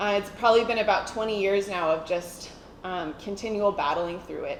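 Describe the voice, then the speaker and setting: This woman has an American accent, a medium pitch and ordinary pitch variation. Noticeable background noise and audible room echo surround her voice. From United States. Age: 30s. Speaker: church member giving testimony. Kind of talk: testimony.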